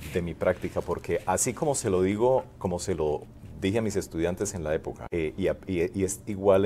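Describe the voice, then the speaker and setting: Over light background noise, a man with a very deep, low pitch and a dark, mellow tone speaks with ordinary pitch variation. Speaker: physician; interviewee. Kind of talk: interview. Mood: relaxed, reflective. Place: meeting room. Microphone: lapel.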